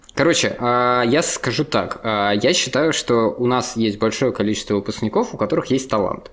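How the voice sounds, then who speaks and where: In an ordinary speaking voice, a man talks at a moderate pace and medium pitch with ordinary pitch variation, very even loudness and hardly any pauses. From Russia, St. Petersburg. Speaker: company CEO, frontend developer and conference organizer. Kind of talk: casual interview.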